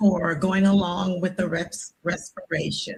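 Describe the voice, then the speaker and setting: Very slow, somewhat breathy speech from a woman. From San Francisco, Bayview Hunters Point. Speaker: public commenter. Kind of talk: public comment at government hearing. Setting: public meeting.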